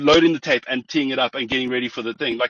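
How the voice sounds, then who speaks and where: A man speaks with ordinary pitch variation. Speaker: business consultant. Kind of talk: interview. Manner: fast.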